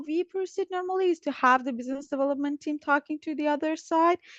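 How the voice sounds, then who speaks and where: A woman with a non-native accent talks at a fairly quick pace with lively intonation, in a dry, close sound with no echo against a quiet background. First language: not English. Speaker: business development specialist in biotech. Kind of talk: interview. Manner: hesitant, many fillers.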